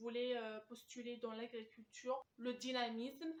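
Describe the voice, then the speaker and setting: The pace is fairly slow. Intonation stays monotone and flat. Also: woman. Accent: Algerian. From Algeria. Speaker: student job coach. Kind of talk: advice talk to camera. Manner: hesitant, many filler sounds.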